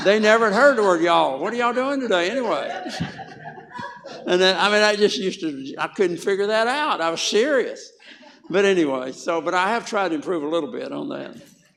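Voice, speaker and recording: A man talks in a strong Southern US accent at a high pitch and a fairly quick pace, with lively intonation. Noticeable background noise and audible room echo fill the recording. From US South. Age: 80s+. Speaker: health educator. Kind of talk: health talk to a church audience. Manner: animated.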